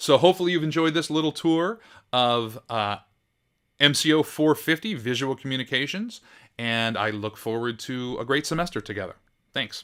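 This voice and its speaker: A man speaks at a fairly high pitch with lively intonation. The recording is very clean, with a silent background. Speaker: professor. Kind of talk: recorded course tour tutorial. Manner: fast; casual with fillers.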